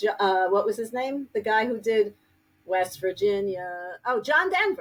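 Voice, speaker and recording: Speaking in a New York accent, a woman uses lively intonation. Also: fairly high pitch for a woman, fairly slow pace. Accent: heavy New York. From New York City (Brooklyn, Queens). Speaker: grief counselor and author. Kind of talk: interview podcast.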